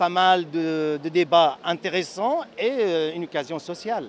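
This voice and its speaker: A man speaks very slowly with a slight Syrian accent. His voice sits high for a man, with ordinary pitch variation. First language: Arabic (speaking French). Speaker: activist and social psychology lecturer. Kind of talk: interview. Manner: halting, many hesitations.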